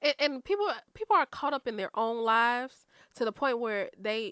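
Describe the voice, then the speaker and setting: A woman with an American accent speaks at a moderate pace in a fairly high, bright, sharp voice. The sound is dry and close with no echo, on a very clean recording with a silent background. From Chicago south suburbs (Chicago Heights). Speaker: podcast guest. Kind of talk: casual chat.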